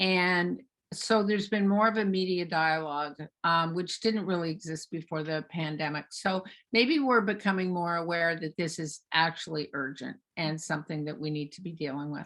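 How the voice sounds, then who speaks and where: A woman with a normal speaking voice talks at a moderate pace and fairly low pitch, with ordinary pitch variation and big swings in loudness. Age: 60s. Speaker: author and psychotherapist, recovery advocate. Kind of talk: interview.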